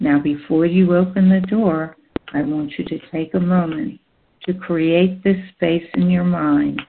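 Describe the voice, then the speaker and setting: A woman speaks in a normal speaking voice, fairly low in pitch, with fairly even intonation and a fairly slow pace. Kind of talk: guided meditation, hypnosis script read aloud to listeners. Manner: slow, soothing, calm and gentle, with measured pauses; warm, directive, coaxing the listener to relax.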